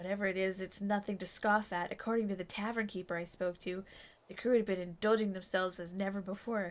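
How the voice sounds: The voice is a natural reading voice, and its intonation stays fairly even.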